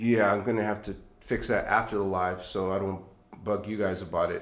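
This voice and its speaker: Audible room echo surrounds a man speaking at a fairly slow pace. His intonation stays fairly even. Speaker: spiritual livestream host. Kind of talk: live stream chat. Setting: live stream. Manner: halting.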